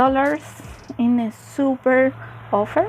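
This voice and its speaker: Over music in the background, a woman in a Chilean Spanish accent talks at a very slow pace with ordinary pitch variation. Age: 20s. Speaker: cross stitch vlogger. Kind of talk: casual stitch-along vlog. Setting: by a window at home. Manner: halting, many fillers.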